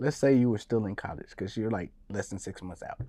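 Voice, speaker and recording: Against a quiet background, a man talks with an American accent and ordinary pitch variation. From Dallas-Fort Worth, Texas. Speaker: real estate investor. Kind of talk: casual interview.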